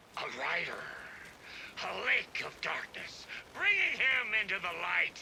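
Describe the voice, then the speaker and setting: A man's put-on character voice, high in pitch, at a fairly slow pace with long, frequent pauses over clear background noise. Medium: video game. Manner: boisterous.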